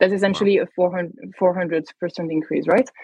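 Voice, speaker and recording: Recorded with a dry, close sound and no echo, a woman speaks in a French accent at a medium pitch. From France, Paris. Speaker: tech company manager. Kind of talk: podcast interview.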